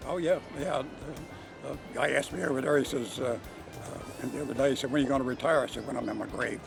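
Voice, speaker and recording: With music in the background, a man of fairly high pitch speaks at a very fast pace with fairly even intonation and long, frequent pauses. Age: 80s+. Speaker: harness racing driver. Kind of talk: interview. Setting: racetrack. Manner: halting.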